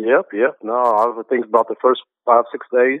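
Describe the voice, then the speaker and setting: The speaker is a man with an American accent. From US South, Greensboro, North Carolina. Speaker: basketball coach. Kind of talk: interview.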